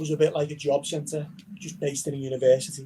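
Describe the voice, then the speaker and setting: The voice has a Liverpool accent and a dark, mellow tone. It moves at a moderate pace with monotone, flat intonation. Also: man. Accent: Liverpool (Scouse). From Liverpool, England. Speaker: university recruitment manager. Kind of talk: online information session.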